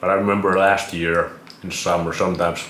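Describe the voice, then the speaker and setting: A man with a Finnish accent speaks at a moderate pace in a very deep, low pitch with monotone, flat intonation. Noticeable background noise and audible room echo are present. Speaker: vlogger. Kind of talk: casual monologue.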